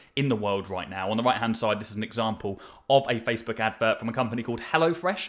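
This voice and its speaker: Energetic and very fast, a man speaks at a medium pitch in a bright, sharp tone with ordinary pitch variation. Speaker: marketing agency owner teaching ads. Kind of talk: tutorial.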